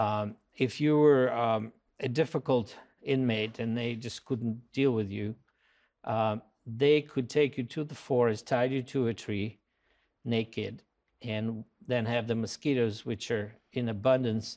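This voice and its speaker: With a Russian accent, a man of medium pitch speaks at a fairly slow pace and with fairly even intonation. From Russia, Moscow. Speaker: anthropology professor. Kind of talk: interview. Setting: on location at a college campus. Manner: hesitant with many fillers.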